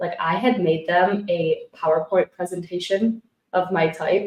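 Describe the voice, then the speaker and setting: A woman at a medium pitch with an ordinary speaking voice. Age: 20s. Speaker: podcast host, former reality show contestant. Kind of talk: casual interview chat. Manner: fast, chatty.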